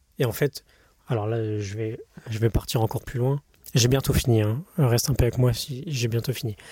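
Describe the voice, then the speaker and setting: A man speaks at a medium pitch and moderate pace, somewhat breathy with a dark, mellow tone and fairly even intonation. The recording is very clean and dry, close with no echo, with a silent background. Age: 20s. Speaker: podcaster, former engineer. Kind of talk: unscripted personal monologue. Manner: halting, many fillers and self-corrections.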